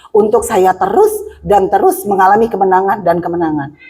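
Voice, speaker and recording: The tone is animated, with very wide pitch swings. Noticeable background noise is present. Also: woman. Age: 60s. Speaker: preacher. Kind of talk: sermon.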